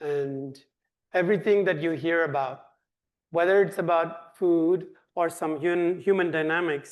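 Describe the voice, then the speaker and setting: With a Tamil accent, a man speaks fairly slowly at a high pitch with fairly even intonation, and audible room echo. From India (Tamil-speaking south). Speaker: nonprofit director. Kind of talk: Q&A answer; lecture.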